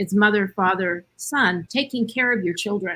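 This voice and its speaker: A woman at a medium pitch uses an ordinary speaking voice. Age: 60s. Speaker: panelist. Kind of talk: panel discussion.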